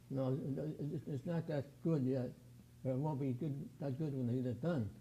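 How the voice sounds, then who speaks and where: Speaking with an American accent, a man at medium pitch has a dark, mellow tone, somewhat breathy delivery, fairly even intonation and a moderate pace. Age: 80s+. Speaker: aircraft restoration volunteer. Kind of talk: interview.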